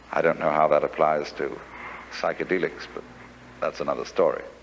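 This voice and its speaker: With an English accent, a man speaks. His pace is moderate. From England. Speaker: philosopher and lecturer. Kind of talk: philosophy lecture.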